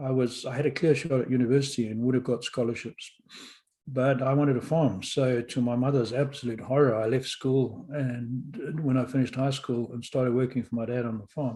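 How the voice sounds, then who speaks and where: A man's somewhat breathy, medium-pitched voice, dark and mellow in tone, with monotone, flat intonation. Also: fairly quick pace, quiet background. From Rhodesia (Zimbabwe), born in London. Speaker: podcast host and author. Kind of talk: interview storytelling.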